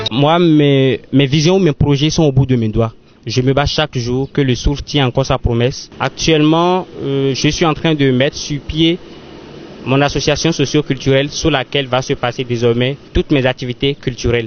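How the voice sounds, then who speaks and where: A man with a Beninese accent at a fairly high pitch, with fairly even intonation, very even loudness, and a moderate pace. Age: young. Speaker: storyteller, actor. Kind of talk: interview answer.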